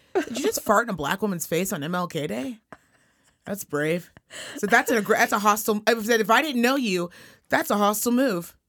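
In a Californian accent, this speaker sounds animated, with very wide swings in pitch. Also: woman, fairly high pitch for a woman. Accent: Californian-sounding American. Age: 30s. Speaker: podcast co-host. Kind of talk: casual chat.

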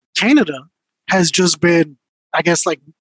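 A man talks in an ordinary speaking voice with fairly even intonation. The sound is dry and close, with no echo. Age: 30s. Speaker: podcast co-host. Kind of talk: casual chat.

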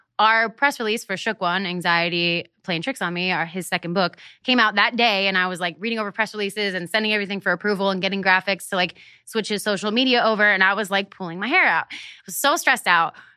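A very fast woman with an American accent, medium-pitched and bright, sharp in tone, with ordinary pitch variation over a quiet background. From Pennsylvania (Hershey). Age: 20s. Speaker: operations manager for a media personality. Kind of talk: interview, casual chat.

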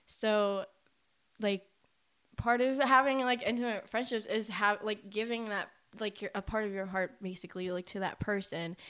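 Her intonation fairly even, a woman with a normal speaking voice talks at a moderate pace and a medium pitch. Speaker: podcast co-host. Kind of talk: casual chat.

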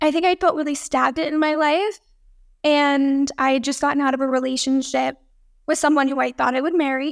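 A woman speaks at a high pitch with an American accent. Her intonation is monotone and flat. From Texas, Dallas. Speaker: model and filmmaker. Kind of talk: casual interview.

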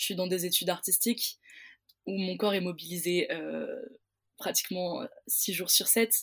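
This woman's pitch is medium, and the recording is very clean with a silent background. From southern France, Pyrenees. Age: 20s. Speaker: theatre student. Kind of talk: interview. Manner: halting.

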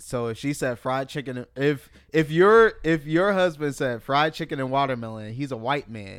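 In a normal speaking voice, a man talks at a moderate pace with hardly any pauses, a fairly high pitch and lively intonation. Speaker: podcast host. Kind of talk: casual chat.

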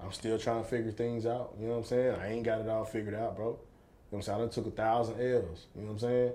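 A man with an American accent speaks very fast in a flat monotone at medium pitch. His tone is dark and mellow, and the room echo is audible. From East Texas. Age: 30s. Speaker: former pro football player and entrepreneur. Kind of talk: casual interview chat.

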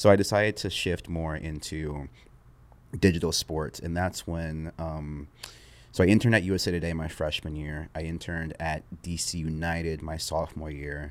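A man talks at a moderate pace. His pitch is very deep and low. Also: fairly even intonation, very clean recording, silent background. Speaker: sports content creator. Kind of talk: casual interview chat. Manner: even-keeled, monotone, rarely raises voice; laid-back.

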